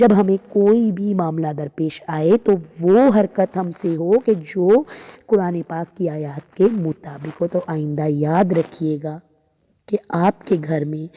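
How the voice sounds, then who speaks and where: Her pitch fairly low and her pitch variation ordinary, a woman talks in an ordinary speaking voice. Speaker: Islamic preacher. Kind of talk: religious sermon (bayan).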